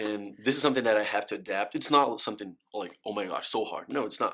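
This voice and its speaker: With a Brazilian accent, a man speaks at a fairly quick pace. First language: Portuguese. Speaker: college athlete. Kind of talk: interview. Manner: halting.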